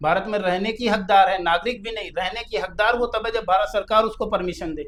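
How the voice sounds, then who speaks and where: A man with a high-pitched voice speaks at a moderate pace with fairly even intonation. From Kanpur, Uttar Pradesh, India. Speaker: lawyer. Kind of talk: interview.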